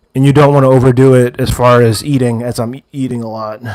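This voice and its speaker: Fairly quick and fairly even in intonation, a man talks in an ordinary speaking voice at a medium pitch. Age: 20s. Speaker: livestreamer, fitness enthusiast. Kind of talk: casual livestream chat.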